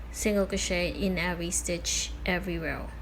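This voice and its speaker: Recorded with audible room echo, a woman with a Filipino accent speaks at a fairly slow pace. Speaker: crochet tutorial creator. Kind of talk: tutorial. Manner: casual with filler words.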